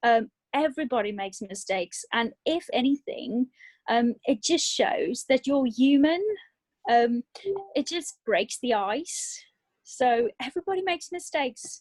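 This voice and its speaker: A woman's high-pitched voice at a fairly slow pace, with very wide pitch swings and a dry, close sound with no echo. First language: not English. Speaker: direct sales trainer. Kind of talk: training talk on video call. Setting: video call.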